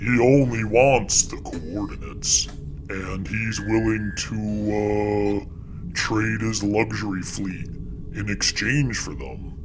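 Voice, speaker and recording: Through loud background noise, a man does a put-on character voice, fairly low in pitch and very slow. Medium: read story. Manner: wheedling, casual.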